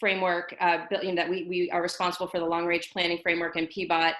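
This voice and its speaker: A woman speaks with a fairly low pitch. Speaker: city sustainability manager. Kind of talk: webinar presentation. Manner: fast; halting.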